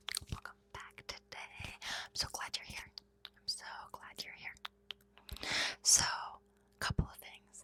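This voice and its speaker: A woman whispers at a very slow pace, with long, frequent pauses. Her loudness swings widely. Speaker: ASMR creator. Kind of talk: ASMR rambling, casual chat to camera. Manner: whispered, soft-spoken.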